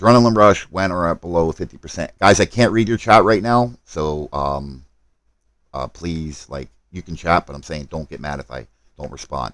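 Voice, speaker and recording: A man talks at a very deep, low pitch and a moderate pace. His intonation is lively, and his loudness swings widely. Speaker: gaming livestreamer. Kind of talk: live stream gameplay commentary. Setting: live stream.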